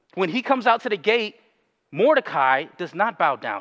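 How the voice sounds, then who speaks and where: Against a quiet background, a man speaks in a high voice. His tone is bright and sharp. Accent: American. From US Northeast, Bridgeport, Connecticut. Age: 30s. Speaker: pastor. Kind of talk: sermon. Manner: halting, many fillers and restarts.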